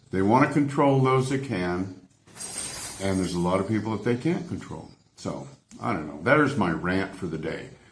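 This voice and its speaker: A man with an American accent, fairly low in pitch, with very wide pitch swings, a moderate pace and audible room echo. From United States. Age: 70s. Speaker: travel vlogger. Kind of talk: opinionated rant to camera. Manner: animated, exasperated.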